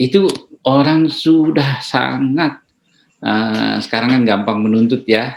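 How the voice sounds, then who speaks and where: A man's medium-pitched voice moves very slowly, with ordinary pitch variation. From Dadap, Tangerang area (Betawi Benteng). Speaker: doctor. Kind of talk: interview. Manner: hesitant, many fillers.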